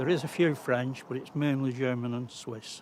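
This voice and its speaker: Over noticeable background noise and audible room echo, a man speaks at a moderate pace and medium pitch with fairly even intonation. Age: 70s. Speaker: model railway hobbyist. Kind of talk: guided tour interview. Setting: at home, garden and garage. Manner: casual, hesitant.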